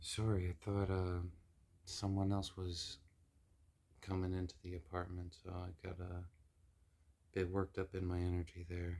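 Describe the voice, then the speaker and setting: A man with a very deep, low pitch speaks in a somewhat breathy, flat monotone at a moderate pace. Long, frequent pauses fill a very clean recording with a silent background. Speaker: spiritual tarot reader. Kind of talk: casual spiritual vlog. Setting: at home in apartment. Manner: halting.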